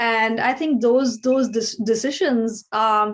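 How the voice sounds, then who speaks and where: High-pitched woman, ordinary pitch variation. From India. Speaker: filmmaker. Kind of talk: interview. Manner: halting, many repetitions and fillers.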